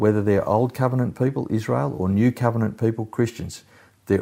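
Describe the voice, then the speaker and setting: On a very clean recording with a silent background, a man with an Australian accent speaks at a fairly low pitch in a dark, mellow tone with ordinary pitch variation. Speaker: pastor. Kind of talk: sermon. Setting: recorded at home during lockdown. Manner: halting.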